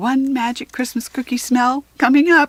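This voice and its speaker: A female-sounding, put-on character voice, high in pitch for a woman, at a moderate pace. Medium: read story.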